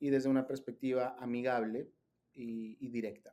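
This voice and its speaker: A man speaks with a Peruvian accent at a fairly slow pace. His tone is dark and mellow. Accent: Peruvian Spanish (Lima). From Peru, Lima. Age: 30s. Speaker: digital content creator, faith organization director. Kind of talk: interview conversation. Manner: hesitant, many fillers.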